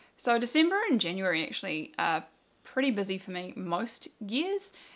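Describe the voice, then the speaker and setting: A woman with a New Zealand accent on a very clean recording with a silent background. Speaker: knitting video podcaster. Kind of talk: casual chat. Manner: chatty, with fillers.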